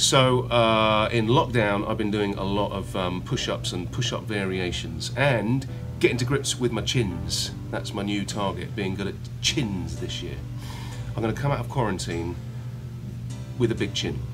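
A man's fairly low voice over clear background music. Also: moderate pace. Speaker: actor interviewee. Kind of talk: interview answer. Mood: relaxed, playful. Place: home room. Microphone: phone near.

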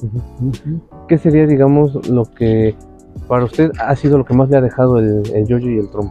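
A man at a moderate pace with ordinary pitch variation, dry sound with no echo and faint music in the background. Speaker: interviewer. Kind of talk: interview questions. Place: garden. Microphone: lapel.

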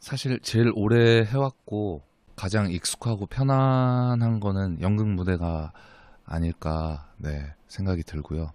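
With lively intonation and a fairly low pitch, a man speaks at a very slow pace on a very clean recording with a silent background. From Pohang, Gyeongsang region. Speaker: actor. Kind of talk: casual interview.

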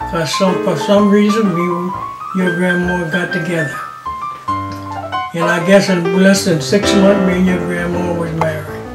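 Loud background music plays as a man talks at a fairly slow pace with long, frequent pauses. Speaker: retired architect and artist; army veteran. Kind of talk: interview answer, life story. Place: home room.

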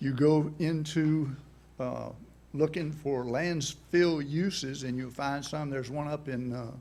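A man talks at a fairly slow pace, his pitch fairly high and his tone dark and mellow. His intonation stays fairly even, and the room echo is audible. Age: 80s+. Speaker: member of the public at county meeting. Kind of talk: public comment presentation. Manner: halting.

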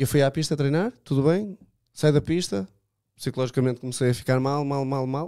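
Over a quiet background, a dark, mellow voice moves at a moderate pace with ordinary pitch variation. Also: man, fairly high pitch for a man. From Portugal. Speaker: drift racing driver; podcast guest. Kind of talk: casual chat. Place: studio. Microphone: studio mic.

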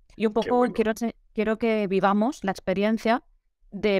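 Against a quiet background, a woman speaks at a fairly quick pace in a dry sound with no echo. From Valencia, Spain; Spain. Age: 30s. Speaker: photographer; interviewee. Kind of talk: interview. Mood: animated, friendly. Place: home room.

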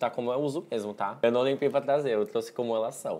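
Very fast, medium-pitched male speech against noticeable background noise. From Brazil, Florianópolis. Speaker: drag performer and wig maker. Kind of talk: interview with makeup tutorial.

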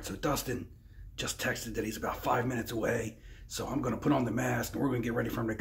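Whispering at a very fast pace, a man puts on a raspy character voice. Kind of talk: casual vlog chat.

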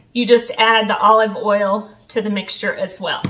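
Her voice sits high in pitch. The woman talks at a fairly slow pace. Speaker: home cleaning vlogger. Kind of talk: tutorial. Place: kitchen. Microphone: camera far.

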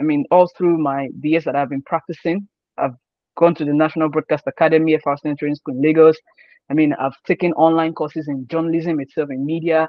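A man with a Nigerian accent speaks at a fairly quick pace and a fairly high pitch, his intonation flat and monotone. The sound is dry with no echo, over a quiet background. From Nigeria, Osun State. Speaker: sports journalist. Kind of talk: interview. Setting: video call. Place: home room. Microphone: video call.

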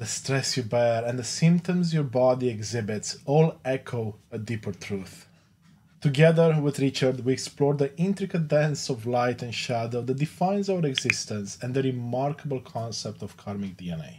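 Over light background noise, a somewhat breathy man speaks at a moderate pace with lively intonation. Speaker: podcast host. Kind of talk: podcast intro. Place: home room.

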